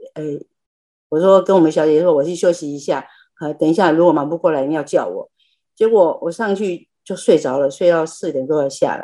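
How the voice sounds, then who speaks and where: Speaking at a fairly quick pace, a woman has a fairly low, dark, mellow voice with ordinary pitch variation. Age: 70s. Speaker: lay Buddhist practitioner sharing. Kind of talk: personal testimony. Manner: halting.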